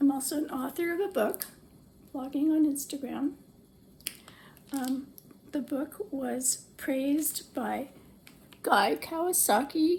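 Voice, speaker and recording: A woman with a high pitch and ordinary pitch variation talks at a very slow pace, leaving long, frequent pauses. Noticeable background noise is present. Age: 70s. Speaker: social media user and author. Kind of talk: personal appeal to camera. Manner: hesitant, with frequent fillers.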